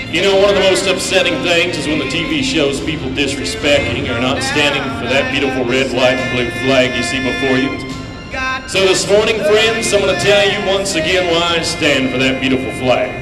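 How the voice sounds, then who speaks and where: A man speaks at a fairly quick pace over clear music in the background. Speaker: rodeo announcer. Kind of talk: patriotic address to arena crowd. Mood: solemn, heartfelt. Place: stadium.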